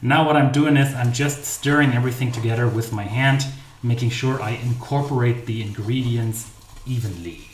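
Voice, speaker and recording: A man speaks at a moderate pace with a German accent, a medium pitch and fairly even intonation. The room echo is audible, and there is noticeable background noise. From Germany. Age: 30s. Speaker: baking channel host. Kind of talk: live stream baking tutorial. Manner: casual, chatty.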